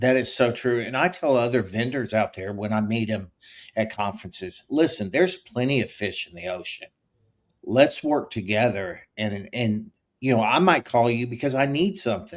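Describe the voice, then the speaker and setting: On a very clean recording with a silent background, a man with a Texas accent speaks at a medium pitch and a moderate pace with lively intonation. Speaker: podcast host. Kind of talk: casual interview chat.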